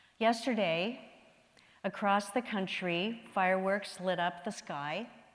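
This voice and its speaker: A medium-pitched woman's voice at a very slow pace, ordinary pitch variation, and audible room echo. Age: 70s. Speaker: minister. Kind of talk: sermon.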